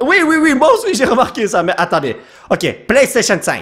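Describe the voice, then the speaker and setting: A man speaks in a Quebec accent. His pitch swings very widely. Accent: Québécois. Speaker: YouTube gamer. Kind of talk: gameplay commentary. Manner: animated.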